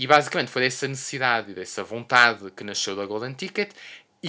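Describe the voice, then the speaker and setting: A man speaks in a bright, sharp tone with lively intonation. The recording is very clean, with a silent background. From Portugal, Porto. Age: 30s. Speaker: podcast host, veterinarian. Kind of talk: solo monologue. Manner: hesitant, many fillers and repetitions.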